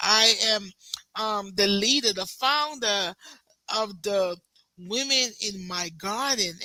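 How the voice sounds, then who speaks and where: Speaking at a very slow pace with long, frequent pauses, a woman has a bright, sharp tone, a medium pitch and ordinary pitch variation. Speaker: host, founder of women's group. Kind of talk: interview host.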